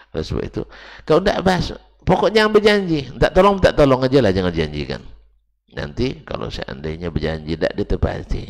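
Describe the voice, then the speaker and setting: A man at a medium pitch speaks at a very fast pace with very wide pitch swings and vocal fry. The background is quiet. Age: 50s. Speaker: Islamic preacher. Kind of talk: religious lecture. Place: church. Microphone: headset.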